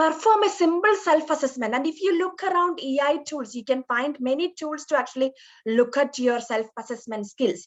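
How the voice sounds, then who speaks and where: A woman's high-pitched voice with an Indian accent and lively intonation, at a moderate pace with hardly any pauses. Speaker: nurse educator. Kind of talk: lecture.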